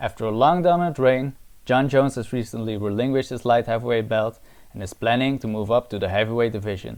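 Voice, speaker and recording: A man with a non-native accent speaks at a fairly quick pace. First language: not English. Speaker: MMA analysis YouTuber. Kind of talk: scripted analysis narration.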